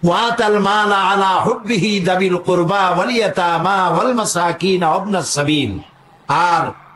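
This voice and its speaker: Against noticeable background noise, a man speaks at a high pitch with ordinary pitch variation and very even loudness. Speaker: Islamic preacher. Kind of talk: religious sermon. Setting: outdoor public gathering. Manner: emotional, powerful.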